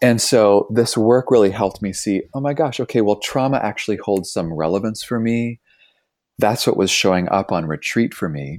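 A man speaks in a normal speaking voice at a fairly low pitch, with ordinary pitch variation. His pace is moderate, and the recording is very clean with a silent background. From Canada (Toronto). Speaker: author and trauma educator. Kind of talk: interview conversation.

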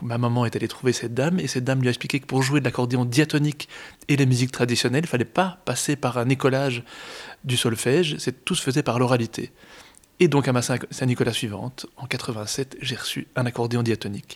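Talking at a fairly quick pace, a man has an unremarkable speaking voice with a medium pitch and fairly even intonation. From Brussels, Belgium. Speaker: accordionist. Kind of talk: interview.

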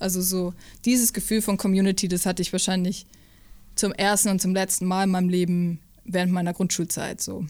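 The recording is very clean, with a silent background. A woman talks at medium pitch and a fairly quick pace in a monotone, flat intonation. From Upper Franconia, Bavaria (Hof), early years Saxony. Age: 20s. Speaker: drummer. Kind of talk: interview. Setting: rehearsal room.

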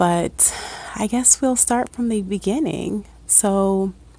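A woman talks with an American accent. Her pitch varies in an ordinary way. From Ohio, Akron. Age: 30s. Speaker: podcaster. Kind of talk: personal monologue.

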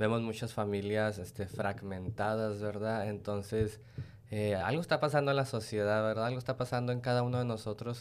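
A man speaks in a Mexican accent. His intonation stays fairly even. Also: fairly low pitch for a man, moderate pace. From Mexico. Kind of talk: casual interview.

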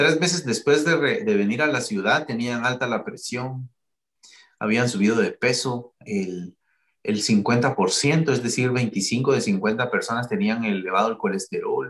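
An ordinary speaking voice from a man at medium pitch, with lively intonation and a fairly slow pace. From Guatemala. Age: 40s. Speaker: cardiologist. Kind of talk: interview. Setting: video call.

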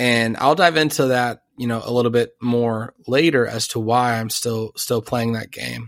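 In an unremarkable speaking voice, a man talks at a moderate pace with fairly even intonation and hardly any pauses. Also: medium pitch for a man. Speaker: podcast host. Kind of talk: casual chat.

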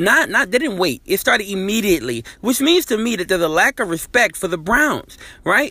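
A man's high, raised, projected voice, bright and sharp in tone, with very wide pitch swings. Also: moderate pace. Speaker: podcast host and sports commentator. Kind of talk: casual sports talk, recorded message.

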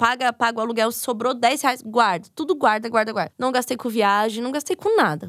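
A plain, everyday voice from a woman, fairly high in pitch with ordinary pitch variation, at a fairly quick pace with hardly any pauses. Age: 30s. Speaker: podcaster and psychology student. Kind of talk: casual chat.

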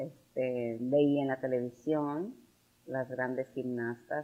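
A woman with a very deep, low pitch speaks at a fairly slow pace with fairly even intonation. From Tamaulipas, Mexico (San Fernando). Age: 50s. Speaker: businesswoman and former beauty queen. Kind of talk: interview.

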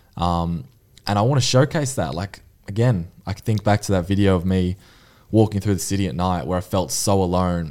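Heard in a very clean recording with a silent background, a man has a dark, mellow tone. He speaks with an Australian accent and ordinary pitch variation. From Australia, Mornington Peninsula (Victoria). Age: 20s. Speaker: mental resilience advocate. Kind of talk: podcast interview. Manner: casual.

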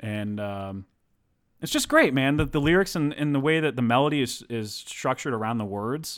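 An ordinary speaking voice from a man with an American accent, medium in pitch, ordinary pitch variation, a moderate pace, and a very clean recording over a silent background. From Texas. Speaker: podcast co-host. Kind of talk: casual chat.

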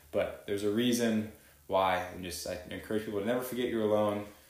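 A man with an American accent, in audible room echo. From Texas. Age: 20s. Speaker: chiropractor. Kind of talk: casual interview chat.

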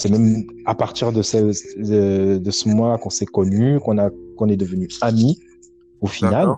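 Pausing long and often, a man talks at a fairly low pitch with fairly even intonation. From Cameroon, Douala. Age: 30s. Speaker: DJ. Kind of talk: casual chat.

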